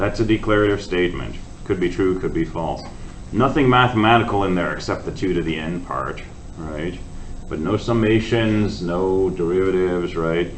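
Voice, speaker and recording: In a room with audible echo, a man with a very deep, low voice speaks at a moderate pace with ordinary pitch variation. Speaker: university lecturer. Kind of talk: lecture. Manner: loud.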